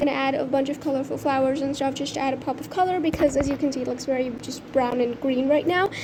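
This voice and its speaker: Over noticeable background noise, a woman speaks at a very fast pace with ordinary pitch variation. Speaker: art YouTuber. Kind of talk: voiceover narration of painting process. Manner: casual, chatty.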